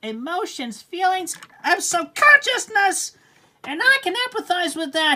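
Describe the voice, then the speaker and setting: A woman's put-on character voice, shrill and extremely high, with very wide pitch swings at a moderate pace. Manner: worked up, agitated.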